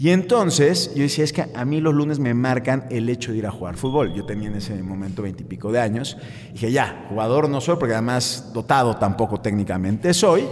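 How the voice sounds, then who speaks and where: There is noticeable background noise as a man speaks at a moderate pace. His medium-pitched voice has lively intonation. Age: 30s. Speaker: sports psychologist and coach. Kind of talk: interview, expert advice.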